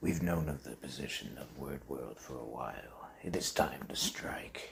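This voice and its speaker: Whispering in a put-on character voice, a man speaks at a moderate pace. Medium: audio drama. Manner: forceful, urgent.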